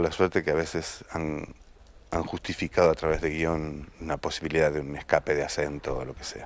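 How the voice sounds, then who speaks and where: With big swings in loudness, a man with a very deep, low pitch talks at a moderate pace. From Argentina. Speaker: actor. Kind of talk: interview. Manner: halting, with repetitions.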